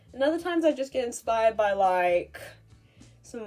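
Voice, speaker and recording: A woman talks at a fairly quick pace with lively intonation. Music plays in the background. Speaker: YouTuber and artist. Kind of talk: casual talk to camera.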